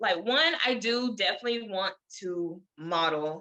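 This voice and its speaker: A woman's voice at a fairly slow pace. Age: 20s. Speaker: model and YouTuber with lymphedema. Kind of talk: casual interview.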